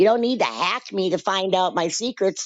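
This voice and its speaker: A woman with a plain, everyday voice talks at a moderate pace with lively intonation. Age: 60s. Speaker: caller and cat colony caretaker. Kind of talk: casual chat.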